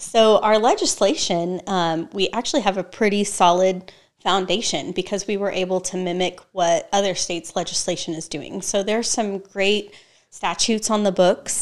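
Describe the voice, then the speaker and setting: In a normal speaking voice, someone with an American accent talks at a moderate pace with fairly even intonation on a very clean recording with a silent background. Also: woman, medium pitch for a woman. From Texas. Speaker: nonprofit executive director. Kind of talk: interview.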